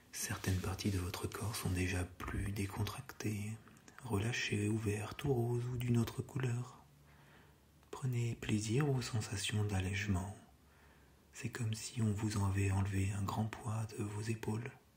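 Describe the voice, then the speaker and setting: A soft-spoken voice whispers at a fairly slow pace. Noticeable background noise runs underneath. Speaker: ASMR hypnosis / relaxation guide. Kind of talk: guided hypnosis relaxation session. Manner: soft-spoken, whispered, slow.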